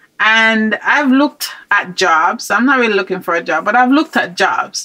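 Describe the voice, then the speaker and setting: Her fairly high voice makes very wide pitch swings at a moderate pace. Noticeable background noise sits behind the woman. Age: 60s. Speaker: podcast host. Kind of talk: interview.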